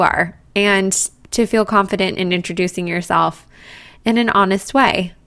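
Here is a woman with an ordinary speaking voice. She talks at a moderate pace with ordinary pitch variation. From Colorado, US. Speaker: podcast host, yoga teacher. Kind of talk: solo podcast monologue.

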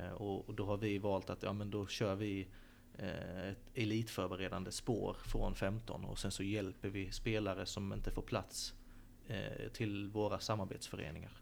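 In a room with audible echo, a man with a fairly low pitch speaks in a flat monotone at a fairly slow pace. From Sölvesborg, Blekinge, Sweden. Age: 20s. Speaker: football academy director. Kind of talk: interview. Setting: stadium stands.

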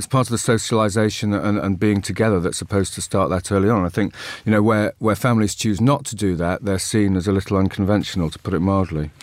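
A man's very fast delivery with hardly any pauses, fairly low pitch, fairly even intonation, and a very clean recording over a silent background. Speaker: journalism professor, former correspondent. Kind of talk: current affairs panel discussion. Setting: studio.

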